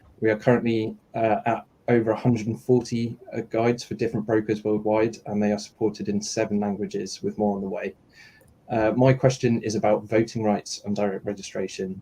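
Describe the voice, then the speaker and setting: A man talks at a fairly quick pace with a dark, mellow tone. His intonation is monotone and flat. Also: fairly low pitch for a man. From outside the US. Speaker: retail investor advocate. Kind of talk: panel Q&A. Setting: live online audio stream. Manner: halting, many fillers.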